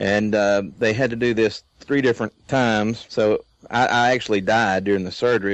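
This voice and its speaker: A man with a Southern US accent speaks at a moderate pace, his fairly low voice held in a flat monotone. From Louisiana. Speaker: guest. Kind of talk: casual conversation. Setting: internet call.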